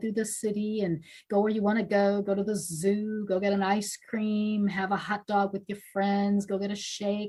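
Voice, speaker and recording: A somewhat breathy woman speaks at a moderate pace with monotone, flat intonation. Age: 60s. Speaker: lifetime cyclist. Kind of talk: casual chat.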